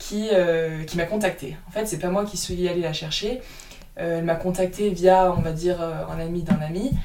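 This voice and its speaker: At a moderate pace, a woman talks with a fairly low pitch and fairly even intonation, and audible room echo is present. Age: 20s. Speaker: golfer and speed golfer. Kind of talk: interview. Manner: hesitant, many fillers.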